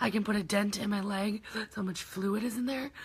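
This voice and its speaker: A bright, sharp tone with an American accent. The intonation stays fairly even. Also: woman. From Michigan. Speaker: heart patient vlogger. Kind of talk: live video Q&A. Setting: live stream reading comments. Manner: casual with many fillers.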